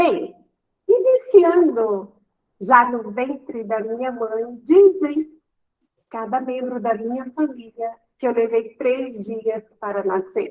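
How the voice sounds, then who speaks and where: A woman's high voice, very slow, with lively intonation. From Brazil, Maranhão (Caxias). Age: 60s. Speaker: interviewee sharing life story. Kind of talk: personal testimony.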